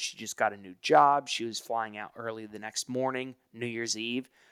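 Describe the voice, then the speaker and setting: The speaker has an American accent and keeps a moderate pace. The sound is dry and close, with no echo. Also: man, very clean recording, silent background. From US South, Hilton Head Island, South Carolina. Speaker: author and gratitude speaker. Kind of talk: interview. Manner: halting, many fillers.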